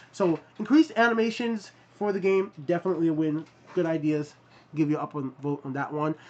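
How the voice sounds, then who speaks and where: The voice moves at a fairly quick pace over noticeable background noise. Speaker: gaming youtuber. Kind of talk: casual commentary reading viewer comments. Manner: fast.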